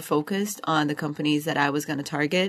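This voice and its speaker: A woman with a Portuguese accent speaks at a fairly quick pace in a very deep, low pitch. The background is quiet. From Brazil, Rio de Janeiro. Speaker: MBA student. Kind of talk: interview.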